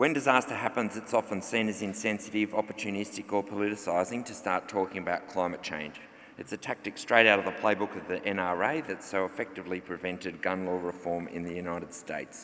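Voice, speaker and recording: Speaking very fast with an Australian accent, a man leaves hardly any pauses. His pitch is fairly low with ordinary variation. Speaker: journalist and author. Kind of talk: conference presentation.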